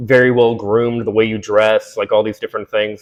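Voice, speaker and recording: A man with a plain, everyday voice, medium pitch and a fairly quick pace. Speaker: video essayist. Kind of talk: monologue to camera. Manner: conversational, many fillers.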